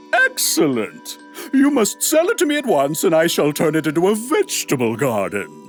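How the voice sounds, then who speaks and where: Clear music plays in the background as a man speaks at a moderate pace. He uses a put-on character voice with a high pitch. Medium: audio drama. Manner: pompous, theatrical.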